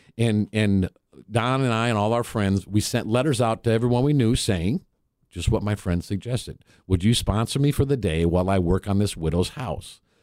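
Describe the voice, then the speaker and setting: A man with a fairly low voice speaks at a moderate pace in an animated tone with ordinary pitch variation, recorded very cleanly against a silent background. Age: 60s. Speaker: nonprofit founder. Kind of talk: radio interview. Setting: studio. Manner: animated storyteller.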